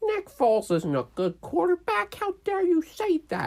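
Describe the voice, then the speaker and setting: A put-on character voice, high-pitched and whiny. It moves at a moderate pace. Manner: annoying, whiny.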